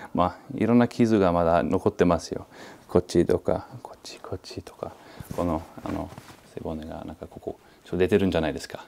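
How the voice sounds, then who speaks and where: In a non-native accent, a man talks at a fairly quick pace with a very deep, low pitch, ordinary pitch variation, and big swings in loudness, over light background noise. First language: not Japanese (speaking Japanese). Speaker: martial arts master. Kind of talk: interview. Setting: martial arts hall. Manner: halting, many fillers. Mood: calm, reflective. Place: home room.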